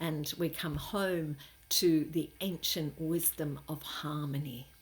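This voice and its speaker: A somewhat breathy voice speaks at a very slow pace with fairly even intonation. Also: woman, very deep, low pitch for a woman. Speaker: spiritual teacher. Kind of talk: spiritual monologue. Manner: halting, many fillers.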